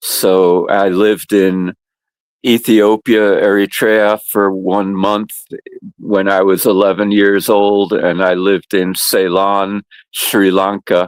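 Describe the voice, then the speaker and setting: A man with a Northeastern US accent talks very slowly at a fairly low pitch, monotone and flat, with very even loudness and a dry, close sound with no echo. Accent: American Northeast. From US Northeast, New Haven, Connecticut. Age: 70s. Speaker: community outreach worker. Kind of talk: interview. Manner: hesitant, many fillers.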